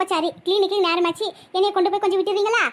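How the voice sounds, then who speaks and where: Putting on a squeaky character voice at an extremely high pitch, a woman talks at a fairly quick pace with monotone, flat intonation. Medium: cartoon. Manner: warm, reassuring.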